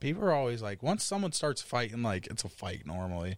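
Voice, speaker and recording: On a very clean recording with a silent background, a man with a Pittsburgh accent and a medium pitch speaks at a very fast pace with lively intonation. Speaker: podcast co-host, music producer. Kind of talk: casual chat.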